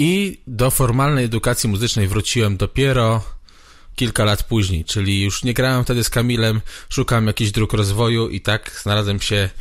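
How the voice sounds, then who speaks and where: A man's fairly low voice moves at a fairly quick pace, with pitch that varies in an ordinary way. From Poland, Brzeg area. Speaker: guitarist and guitar teacher. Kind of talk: casual interview chat. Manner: repeats words, hesitant.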